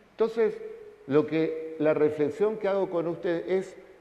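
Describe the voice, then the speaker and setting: A man speaks in a high voice at a fairly slow pace. His pitch varies in an ordinary way, and audible room echo is present. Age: 50s. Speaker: pastor. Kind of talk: sermon.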